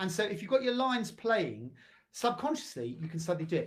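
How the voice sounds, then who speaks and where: His voice is somewhat breathy. The man speaks at a very fast pace. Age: 60s. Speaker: drama teacher and actor. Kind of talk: tutorial. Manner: animated.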